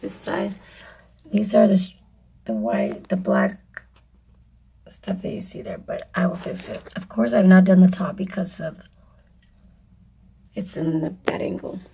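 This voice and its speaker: Pausing long and often, a woman speaks at a fairly slow pace and medium pitch with vocal fry, ordinary pitch variation and big swings in loudness. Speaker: DIY crafter, video creator. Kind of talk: tutorial. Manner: casual, halting with fillers.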